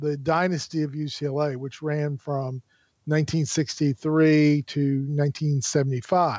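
A man's ordinary speaking voice, fairly high in pitch, at a moderate pace, with a dry, close sound with no echo and a quiet background. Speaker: sports commentator. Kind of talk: casual chat.

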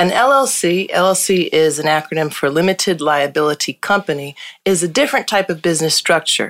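Woman with a fairly low pitch, lively intonation and very even loudness at a moderate pace, an ordinary speaking voice. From Hartford, Connecticut. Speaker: lawyer and law firm founder. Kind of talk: casual interview chat.

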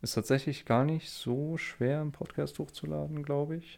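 A man's lively intonation at a moderate pace on a very clean recording with a silent background. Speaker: podcaster. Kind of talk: solo monologue. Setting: Discord voice chat, recording standing. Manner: halting. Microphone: good microphone.

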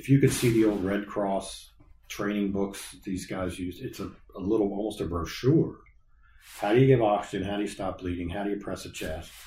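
A man with an American accent talks at a fairly quick pace, his fairly low voice dark, mellow and somewhat breathy. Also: fairly even intonation. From Colerain Township, Ohio (Cincinnati area), US Midwest. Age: 50s. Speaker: fire captain and department historian. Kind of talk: interview.

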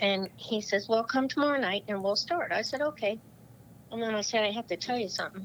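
Here a woman has a normal speaking voice and a fairly high pitch. She talks at a fairly quick pace with ordinary pitch variation. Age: 60s. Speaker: Paralympic fencer. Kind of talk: interview. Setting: phone call.

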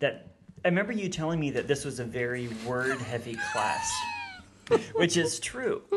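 Noticeable background noise accompanies this man as he speaks. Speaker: seminary professor and theologian. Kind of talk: casual interview about theology. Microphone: mic adjusted during recording, sounds better.

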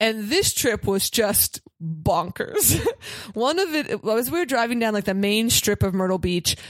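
In an American accent, a woman with a fairly high pitch speaks at a fairly slow pace with lively intonation amid noticeable background noise. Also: very even loudness. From Pittsburgh, US. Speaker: comedian. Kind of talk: casual chat.

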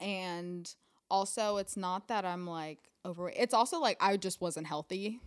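Over a very clean recording with a silent background, a woman uses an ordinary speaking voice at medium pitch with ordinary pitch variation. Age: 20s. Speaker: model and actress. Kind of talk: casual chat. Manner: giggly, laughs often.

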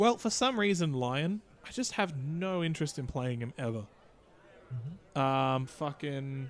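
With an unremarkable speaking voice, a man talks at a fairly slow pace. His pitch is fairly high and his intonation lively. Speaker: podcast co-host. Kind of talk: casual banter. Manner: joking, swears a lot.

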